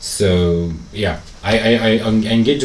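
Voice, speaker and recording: A man talks with ordinary pitch variation. The room echo is audible, and the background noise is noticeable. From Egypt. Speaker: businessman and traveler. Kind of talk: casual chat. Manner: clear.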